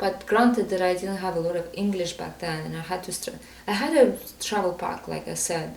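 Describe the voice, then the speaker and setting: With a non-native accent, a woman speaks at a fairly quick pace amid audible room echo and noticeable background noise. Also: medium pitch for a woman, ordinary pitch variation. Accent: foreign. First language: not English. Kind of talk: podcast interview. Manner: halting.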